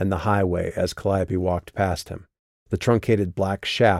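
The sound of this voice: Quiet background behind an unforced reading voice.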